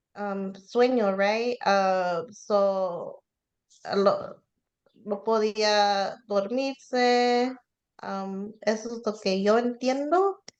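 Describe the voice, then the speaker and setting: A woman's fairly high pitch, fairly even intonation and very slow pace. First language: English (speaking Spanish). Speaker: Bible study participant. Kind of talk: Bible study discussion. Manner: halting, hesitant Spanish.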